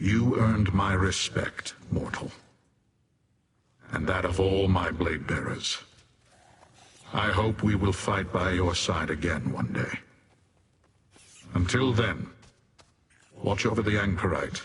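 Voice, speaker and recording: Doing a put-on character voice, a man speaks at a very deep, low pitch with long, frequent pauses. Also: fairly slow pace. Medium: video game. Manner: stern, stoic.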